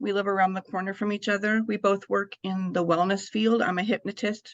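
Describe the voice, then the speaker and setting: A woman's medium-pitched, monotone voice with flat intonation, fairly quick pace, dry, close sound with no echo and a quiet background. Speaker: podcast host and hypnotist. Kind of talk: casual interview chat.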